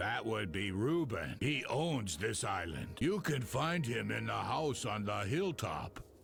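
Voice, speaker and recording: With hardly any pauses at a fairly slow pace, a man in a put-on character voice speaks at medium pitch over clear background noise. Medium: video game. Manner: friendly, chatty, a bit nervous.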